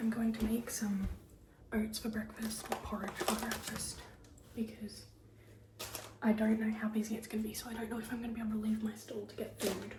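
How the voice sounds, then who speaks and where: A woman whispers at a fairly quick pace with long, frequent pauses, amid noticeable background noise and audible room echo. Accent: Australian. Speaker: vlogger and small-business dressmaker. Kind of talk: casual vlog. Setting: in a car. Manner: casual, chatty; whispering.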